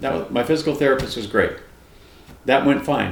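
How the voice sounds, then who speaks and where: Somewhat breathy, a man talks in a space with audible room echo. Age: 60s. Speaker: retired police officer, diet vlogger. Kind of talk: personal testimony vlog. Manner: casual, conversational.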